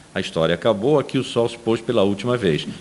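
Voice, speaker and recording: A man with a medium-pitched voice speaks at a fairly quick pace over noticeable background noise. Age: 70s. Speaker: philosophy professor. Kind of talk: testimony interview. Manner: halting with repetitions.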